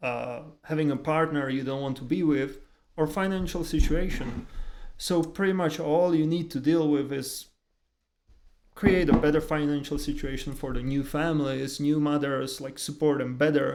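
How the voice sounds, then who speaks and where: A man talks at a moderate pace in a Czech accent. His pitch is fairly high and his intonation fairly even. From Czech Republic. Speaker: podcast co-host. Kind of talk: casual chat.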